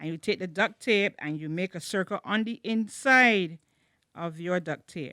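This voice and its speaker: At a moderate pace and medium pitch, a woman talks with lively intonation in a bright, sharp tone, on a very clean recording with a silent background and a dry, close sound with no echo. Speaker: children's church teacher. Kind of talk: craft tutorial for children.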